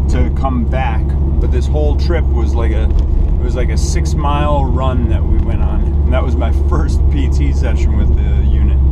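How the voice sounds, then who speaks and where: Loud background noise surrounds a man who talks with hardly any pauses. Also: moderate pace. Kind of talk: casual driving narration. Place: car. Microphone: camera far.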